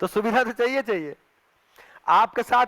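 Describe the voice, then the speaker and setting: On a very clean, dry, close recording with a silent background and no echo, a man speaks at an extremely high pitch with ordinary pitch variation. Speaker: spiritual workshop teacher. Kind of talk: lecture.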